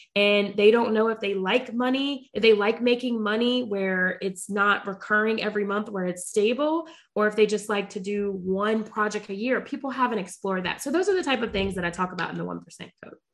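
Here is a woman with an American accent and a plain, everyday voice. She talks at a fairly quick pace, with a fairly high pitch and ordinary pitch variation. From US South, Charlotte, North Carolina. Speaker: radiation oncologist and entrepreneur. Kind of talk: interview conversation.

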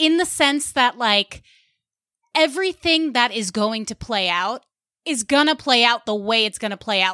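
Recorded with a dry, close sound and no echo, the voice has a bright, sharp tone, a slight Long Island accent and a moderate pace. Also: woman. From US Northeast (Westchester County, New York). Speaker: stand-up comedian and podcaster. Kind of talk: casual chat.

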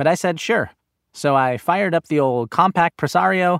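Recorded very clean with a silent background and a dry, close sound with no echo, a man with an American accent and an unremarkable speaking voice talks at a moderate pace with lively intonation. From Los Angeles, Inglewood. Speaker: podcast host and narrator. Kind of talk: scripted narration.

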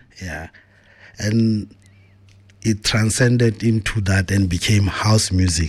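A man speaks at a very slow pace with long, frequent pauses. His fairly low voice is somewhat breathy, with fairly even intonation. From South Africa, Pretoria township. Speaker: forensic auditor and DJ. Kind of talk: interview. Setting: studio.

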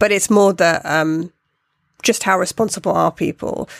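A woman speaks with a British accent and ordinary pitch variation. The recording is very clean with a silent background and a dry, close sound with no echo. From Britain. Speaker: podcast co-host. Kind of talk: casual chat.

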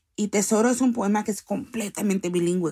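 A plain, everyday voice from a woman at a medium pitch and moderate pace, with fairly even intonation on a very clean recording over a silent background. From US, Salvadoran parents. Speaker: poet and activist. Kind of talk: interview. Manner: code-switching Spanish and English.

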